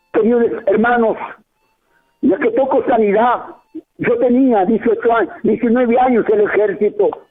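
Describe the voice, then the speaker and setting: A man with an extremely high pitch talks with long, frequent pauses, very even loudness and ordinary pitch variation. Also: moderate pace. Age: 70s. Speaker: pastor. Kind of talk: testimony. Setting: radio broadcast.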